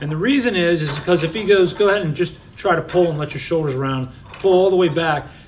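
Light background noise sits behind a man speaking at a very fast pace. His pitch is high, with ordinary pitch variation. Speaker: fitness trainer. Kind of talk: tutorial. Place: gym.

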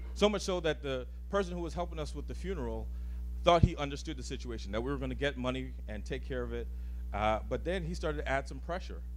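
Very deep and low, a man's somewhat breathy voice rushes at a very fast pace in a monotone, flat intonation, with light background noise. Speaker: guest. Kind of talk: personal storytelling talk. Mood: earnest, personal, some humor. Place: hall. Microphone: handheld.

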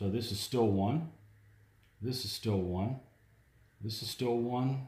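A man talks at a fairly slow pace in a dark, mellow, somewhat breathy tone with ordinary pitch variation, and audible room echo surrounds him. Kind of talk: casual game commentary. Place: home room. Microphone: camera far.

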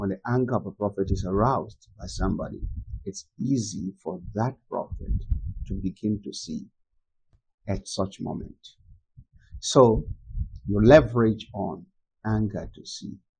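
Vocal fry with ordinary pitch variation and long, frequent pauses. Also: man, fairly low pitch for a man, big swings in loudness. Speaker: preacher teaching. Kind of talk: sermon-style teaching. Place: home room.

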